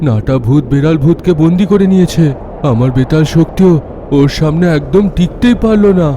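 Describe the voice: A man's cartoonish character voice, fairly high-pitched, at a moderate pace over clear background noise.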